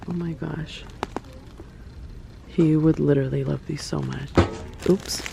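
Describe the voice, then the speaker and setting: With an American accent, a woman talks at a fairly slow pace over noticeable background noise. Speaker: lifestyle vlogger. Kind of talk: casual vlog. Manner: animated.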